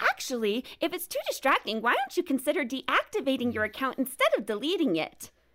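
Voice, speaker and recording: In a put-on character voice, a woman talks at a high pitch and a fairly quick pace with hardly any pauses. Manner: cloyingly helpful, artificial.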